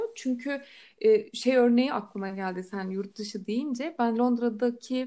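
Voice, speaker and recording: A woman speaks at a fairly slow pace and fairly high pitch, her tone dark and mellow. Her pitch varies in an ordinary way, and the recording is very clean with a silent background. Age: 20s. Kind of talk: casual chat.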